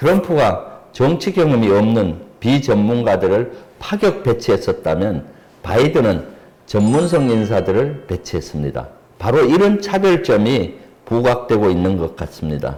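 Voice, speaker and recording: A man of medium pitch talks fairly slowly, his pitch swinging very widely. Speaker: politician and retired army general, defense expert. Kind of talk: expert interview on a politics channel. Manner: formal.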